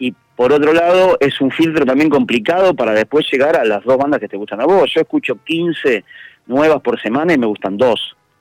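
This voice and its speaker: Recorded with a dry, close sound with no echo, a man with a plain, everyday voice talks at a moderate pace and a fairly high pitch, using lively intonation. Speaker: musician and event organizer. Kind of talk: interview.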